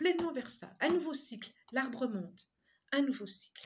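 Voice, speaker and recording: Her pitch swinging very widely, a woman talks. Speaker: tarot reader and energy healer. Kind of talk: tarot reading guidance. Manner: halting, many repetitions.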